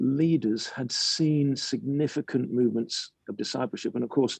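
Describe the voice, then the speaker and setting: A man with an English accent, a dark, mellow tone and a fairly slow pace, in a dry, close sound with no echo over a quiet background. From England. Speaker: pastor and author. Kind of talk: interview conversation. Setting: webinar.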